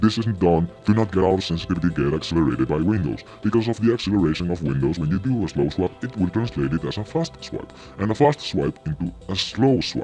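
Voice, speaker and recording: Over music in the background, a man with a very deep, low voice speaks at a very fast pace with lively intonation. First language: not English. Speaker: gaming video creator. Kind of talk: video essay commentary.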